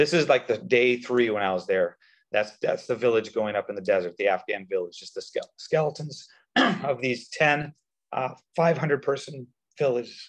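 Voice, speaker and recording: A man's raspy, put-on character voice, fairly high in pitch, at a moderate pace. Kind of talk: briefing, presentation. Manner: fast-talking.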